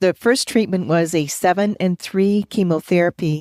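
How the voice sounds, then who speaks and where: A woman with an unremarkable speaking voice talks at a moderate pace and fairly low pitch. Her intonation is fairly even, and the sound is dry and close with no echo. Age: 60s. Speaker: cancer survivor. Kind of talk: interview.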